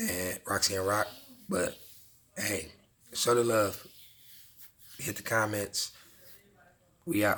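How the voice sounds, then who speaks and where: His tone bright and sharp, a man speaks at a fairly low pitch with fairly even intonation. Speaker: dog vlogger. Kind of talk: casual vlog talk. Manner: monotone; laid back.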